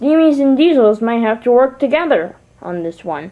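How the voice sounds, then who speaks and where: Putting on a character voice, a woman speaks high-pitched at a moderate pace. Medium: read story. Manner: haughty.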